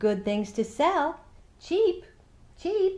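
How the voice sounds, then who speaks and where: A squeaky, put-on character voice with very wide pitch swings. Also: woman, high pitch for a woman. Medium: read story. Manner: scheming, falsely friendly.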